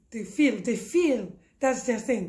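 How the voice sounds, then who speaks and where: Her high voice has a dark, mellow tone and swings very widely in pitch. The woman's speech carries audible room echo. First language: French. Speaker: parenting educator. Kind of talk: tutorial. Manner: not so fast; halting.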